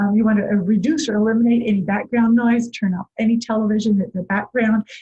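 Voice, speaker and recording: A woman's fairly high, somewhat breathy voice with a dark, mellow tone at a fairly quick pace. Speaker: early childhood music teacher. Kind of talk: tutorial. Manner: calm.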